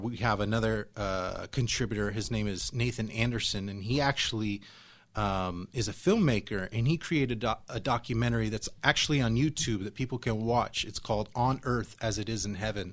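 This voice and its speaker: Fairly even in intonation, an unremarkable speaking voice is captured in a very clean recording against a silent background. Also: man. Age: 40s. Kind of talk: live radio discussion. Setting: radio studio.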